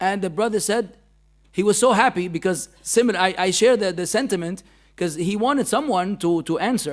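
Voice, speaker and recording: On a very clean recording with a silent background, a man with an Arabic accent talks at a fairly quick pace in a high pitch with ordinary pitch variation. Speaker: Islamic teacher. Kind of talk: religious lecture. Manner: animated.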